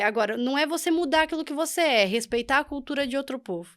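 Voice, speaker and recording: A high-pitched woman talks at a very fast pace with lively intonation. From Brazil. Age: young. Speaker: podcast guest, immigrant. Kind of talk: interview.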